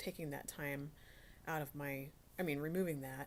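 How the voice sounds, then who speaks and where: A woman speaks quietly with a very deep, low pitch. Her intonation stays fairly even. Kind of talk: casual devotional talk. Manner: halting, many fillers.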